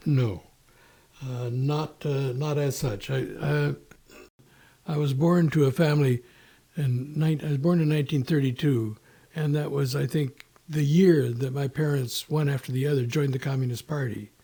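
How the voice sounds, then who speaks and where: A man with an American accent speaks at a moderate pace in a fairly high pitch, his dark, mellow tone somewhat breathy, his intonation fairly even, and his speech broken by long, frequent pauses. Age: 80s+. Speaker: podcast guest. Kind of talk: casual interview. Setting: in person at host's home. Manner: halting, many fillers and restarts.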